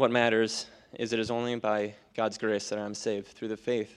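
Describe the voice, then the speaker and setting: Someone talks with an American accent. Very clean audio, with a silent background. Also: man. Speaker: baptism candidate. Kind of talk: testimony. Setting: church.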